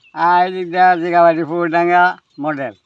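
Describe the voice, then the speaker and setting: A man speaks in a high pitch. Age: 80s+. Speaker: bamboo and cane craftsman. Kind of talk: casual chat.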